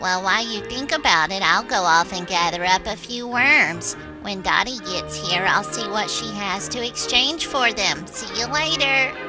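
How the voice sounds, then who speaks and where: A cartoonish character voice, female-sounding and medium in pitch for a woman, at a moderate pace over loud background music. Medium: puppet.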